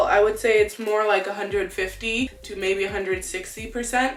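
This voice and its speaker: The pitch of this woman is fairly high. Audible room echo and faint music in the background accompany her. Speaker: beauty YouTuber. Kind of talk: product review. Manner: casual. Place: home room.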